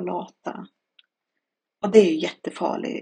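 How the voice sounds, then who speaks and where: A woman is speaking here. Her pace is fairly slow. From Sweden (adopted from Chile). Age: 40s. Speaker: podcast guest sharing burnout experience. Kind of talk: personal monologue testimony. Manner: halting, with many fillers.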